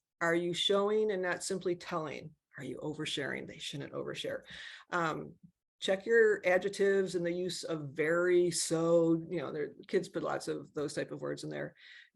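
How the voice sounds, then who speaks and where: The speaker keeps a moderate pace. The background is quiet. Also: woman. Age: 60s. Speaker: college counselor. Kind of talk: webinar presentation. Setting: video webinar.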